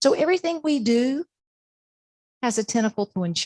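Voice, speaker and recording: Here a woman speaks with an American accent and lively intonation. The sound is dry and close, with no echo. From Florida, Plant City. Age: 60s. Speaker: podcast host, insurance expert. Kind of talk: presentation; podcast intro. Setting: stage with audience. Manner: conversational.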